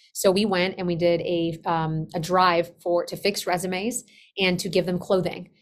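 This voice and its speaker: A woman with a Spanish accent speaks at a moderate pace in a fairly low pitch with monotone, flat intonation, on a very clean recording with a silent background. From Colombia, moved to US at age eight. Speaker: business operations consultant. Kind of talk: podcast interview.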